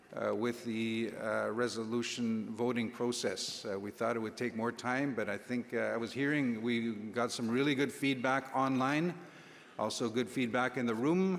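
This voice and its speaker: Audible room echo surrounds a man of medium pitch who speaks at a moderate pace with ordinary pitch variation. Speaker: assembly chair. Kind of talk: meeting chairing. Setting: conference hall with audience. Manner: hesitant, many fillers.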